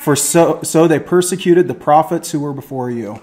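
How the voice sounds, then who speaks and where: With lively intonation, the man talks at a moderate pace. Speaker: teacher or preacher. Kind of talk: lecture. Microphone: webcam.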